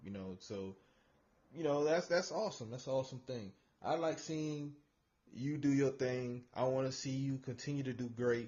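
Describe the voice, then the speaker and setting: A man speaks at a moderate pace in an ordinary speaking voice, his pitch medium and its variation ordinary. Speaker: show host. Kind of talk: casual podcast interview.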